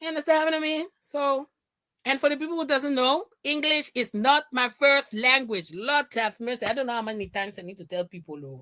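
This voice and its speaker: With a Dutch Caribbean accent, a woman speaks in a high pitch and a bright, sharp tone, her voice raised and projected at a fairly quick pace with big swings in loudness, the sound dry and close with no echo. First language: Papiamento. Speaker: livestream commentator. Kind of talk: casual chat. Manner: animated.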